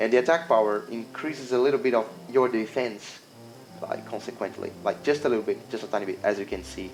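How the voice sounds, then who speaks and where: Music plays behind a man with a non-native accent. He talks at a fairly quick pace. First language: not English. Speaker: indie game developer. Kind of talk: gameplay demo walkthrough. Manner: halting, many fillers and restarts.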